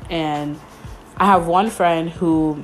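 A woman with an American accent speaks at a fairly low pitch, with music playing in the background. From New York, Mount Vernon. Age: 20s. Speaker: podcaster. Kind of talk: casual solo monologue. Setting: home bedroom.

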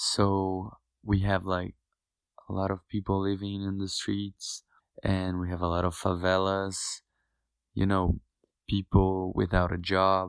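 A man's very deep, low voice, monotone and flat, at a fairly slow pace, on a very clean recording with a silent background and a dry, close sound with no echo. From Brazil, a smaller city. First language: Portuguese. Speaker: medical student. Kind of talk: casual interview chat.

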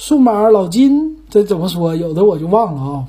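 Pitched high, a man's voice swings very widely up and down. He speaks at a fairly slow pace. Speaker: podcast host. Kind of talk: casual monologue.

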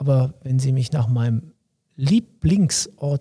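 This man's voice is somewhat breathy and fairly high in pitch, with a dark, mellow tone and ordinary pitch variation. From Lower Saxony, Wolfsburg. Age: 50s. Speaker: local mayoral candidate, police officer. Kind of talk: interview.

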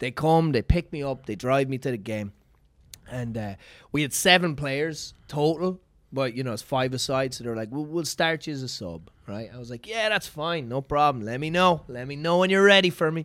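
A man with an Irish accent speaks at a moderate pace in a fairly high voice, with lively intonation and big swings in loudness. The recording is very clean and the background silent. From Ireland. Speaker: comedian. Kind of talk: casual chat.

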